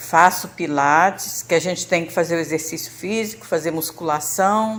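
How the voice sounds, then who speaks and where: A fairly low-pitched woman's voice at a moderate pace. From Brazil, Rio de Janeiro state. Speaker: church member sharing health testimony. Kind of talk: testimony. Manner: halting, with fillers and repetitions.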